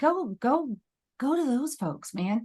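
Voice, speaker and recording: A woman's voice moves through very wide pitch swings. The background is quiet. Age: 40s. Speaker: real estate agent, military spouse. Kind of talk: interview. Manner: fast.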